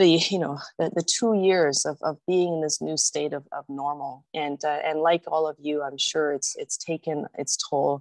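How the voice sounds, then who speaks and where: Very deep, low pitch from a woman with a Canadian accent, fairly even intonation, and a quiet background. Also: moderate pace, hardly any pauses, dry, close sound with no echo. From immigrant to Canada in the 1970s, raised in Canada. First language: not English. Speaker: city councillor, guest speaker. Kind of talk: presentation talk. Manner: hesitant, many fillers and repetitions.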